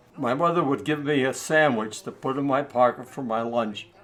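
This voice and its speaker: With clear background noise present, a man speaks at an average speed. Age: 90s. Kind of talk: interview answer.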